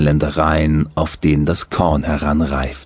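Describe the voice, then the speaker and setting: This man speaks at a very slow pace. His tone is soothing and calm. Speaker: audiobook narrator. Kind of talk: guided meditation. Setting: studio. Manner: slow, soothing, calm.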